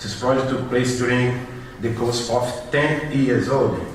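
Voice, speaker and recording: Speech from a man, with noticeable background noise and audible room echo. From Brazil. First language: Portuguese. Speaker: social project worker, conference speaker. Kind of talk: conference presentation. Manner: halting.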